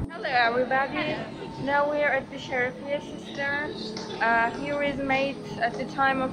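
The speech moves at a fairly slow pace. Clear music plays in the background. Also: woman. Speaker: student vlogger. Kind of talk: casual vlog tour commentary. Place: tunnel cave. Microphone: phone near.

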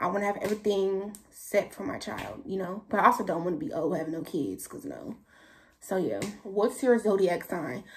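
At a moderate pace, a woman speaks with big swings in loudness over light background noise. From San Francisco Bay Area, California. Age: young. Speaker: YouTuber. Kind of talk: casual Q&A vlog. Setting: talking to camera at home. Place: home room. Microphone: phone near.

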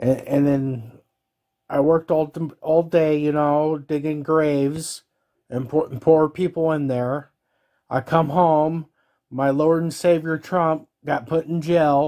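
Over a quiet background, a man speaks in a flat monotone. His pace is fairly slow, with long, frequent pauses. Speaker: caller. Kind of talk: angry comedic rant to camera. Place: home room. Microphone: phone near.

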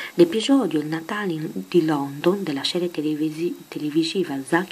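At a moderate pace, a soft-spoken woman talks in a fairly low pitch. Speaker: ASMR creator. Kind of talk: casual talk to camera.

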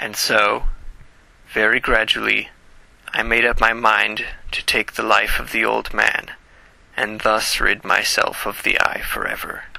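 Raspy and put-on, this character voice moves at a moderate pace. Long pauses come often. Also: man, medium pitch for a man. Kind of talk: gothic horror narration. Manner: nervous, insistent.

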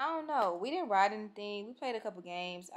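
Fairly quick speech from a woman in an American accent. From Texas. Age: 20s. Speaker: vlogger. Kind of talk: casual vlog talk to camera. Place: home room. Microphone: phone near.

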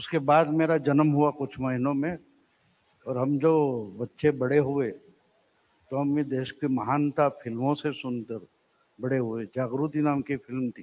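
Very slowly and with fairly even intonation, a man talks. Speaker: speaker. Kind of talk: public talk with satire and anecdotes. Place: hall. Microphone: handheld.

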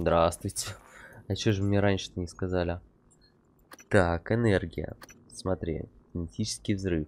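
A man speaks fairly slowly in a very deep, low voice with fairly even intonation. He leaves long, frequent pauses. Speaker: gamer streamer. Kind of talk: casual gameplay commentary. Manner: casual, chatty, uses mild profanity.

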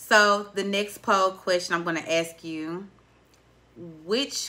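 A woman speaks in a strong Southern US accent. Her tone is bright and sharp, and her intonation is lively. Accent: deep Southern. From US South. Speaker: podcast host. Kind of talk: casual chat. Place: studio. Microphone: studio mic.

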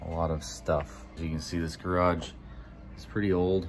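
A man with a very deep, low pitch at a fairly slow pace, over light background noise. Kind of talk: casual vlog chat. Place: garage. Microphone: phone near.

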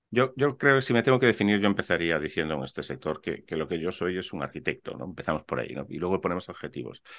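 A man speaks at a very fast pace with hardly any pauses, his very deep, low voice showing very wide pitch swings and vocal fry. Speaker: architect and real estate investor; interview guest. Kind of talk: interview. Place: home room.

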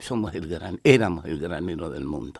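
Recorded very cleanly against a silent background, a man talks. He speaks at a fairly slow pace. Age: old. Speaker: friend of an accident victim. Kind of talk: radio interview. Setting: radio studio.

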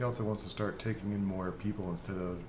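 An unremarkable speaking voice from a man, fairly low in pitch and at a fairly quick pace. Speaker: gaming YouTuber. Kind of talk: casual gameplay commentary. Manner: laughs often, relaxed.

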